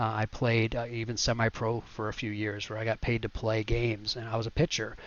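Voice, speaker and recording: Fairly quick speech from a man at a medium pitch. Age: 40s. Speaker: sim racing youtuber. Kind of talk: casual monologue. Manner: halting.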